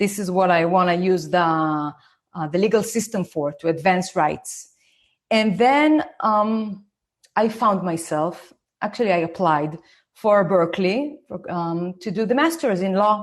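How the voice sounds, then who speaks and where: With an Israeli accent, a woman speaks at medium pitch. Her intonation is lively and her pace fairly slow. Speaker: parenting educator, former lawyer. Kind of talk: online talk.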